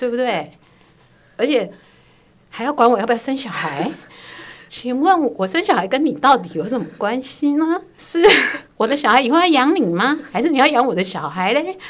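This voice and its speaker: With a high pitch, very wide pitch swings and long, frequent pauses, a woman speaks. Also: moderate pace. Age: 50s. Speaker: host's mother. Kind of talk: interview. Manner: hesitant, many fillers.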